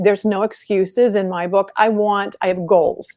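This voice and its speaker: Using a plain, everyday voice, a woman speaks at a moderate pace and a medium pitch. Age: 60s. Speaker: masters track athlete. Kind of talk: interview.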